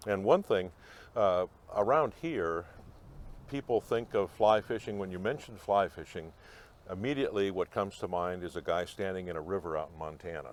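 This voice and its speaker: At a moderate pace, a man speaks with a very deep, low pitch and lively intonation. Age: 70s. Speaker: fly fishing club member. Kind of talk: interview. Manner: halting.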